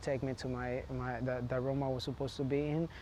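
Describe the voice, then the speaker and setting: Speaking in a Spanish accent, a man uses a fairly high pitch and monotone, flat intonation. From Honduras. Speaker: immigrant interviewee. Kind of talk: interview testimony. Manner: halting, many fillers and restarts.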